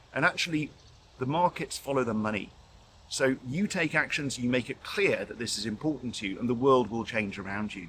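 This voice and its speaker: Here a man with a British accent talks at a fairly quick pace. His pitch is medium, and his intonation is lively. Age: 60s. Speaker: intensive care doctor and professor. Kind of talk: interview.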